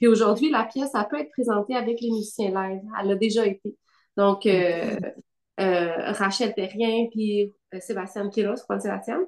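A woman with an unremarkable speaking voice, medium pitch, a moderate pace and ordinary pitch variation. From Quebec, Gatineau (Outaouais). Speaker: dancer and choreographer. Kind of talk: casual interview.

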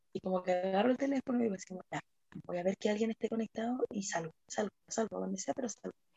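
Her delivery is very fast. There is a somewhat breathy quality to this woman's voice. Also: medium pitch for a woman, ordinary pitch variation. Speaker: podcast host. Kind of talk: casual chat.

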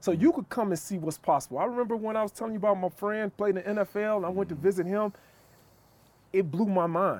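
The man's voice is high in pitch with ordinary variation. He talks at a very fast pace. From Chicago. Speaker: police officer and author. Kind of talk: casual chat. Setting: outdoors.

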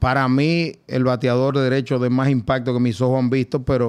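A man's medium-pitched voice comes through with a quiet background. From Dominican Republic. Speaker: baseball team general manager. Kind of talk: casual interview.

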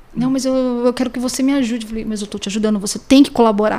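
Over noticeable background noise, a woman with a high voice talks at a very fast pace. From Brazil, São Paulo state (Pindamonhangaba). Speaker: private detective and necropsy technician. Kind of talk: podcast interview. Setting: studio.

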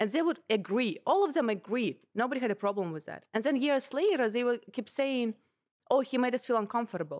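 In a Russian accent, a woman with a high pitch talks at a fairly quick pace with lively intonation. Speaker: comedian and podcast co-host. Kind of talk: casual chat. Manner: animated.

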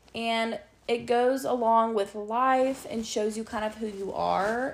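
A woman speaks at a very slow pace. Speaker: podcast host. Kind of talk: solo podcast monologue. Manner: loud spoken; casual, chatty.

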